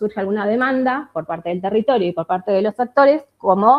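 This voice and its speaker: A woman with a medium-pitched voice talks fairly quickly, her pitch varying in an ordinary way. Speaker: researcher and industrial designer. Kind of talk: conference talk. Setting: conference with audience. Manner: fast.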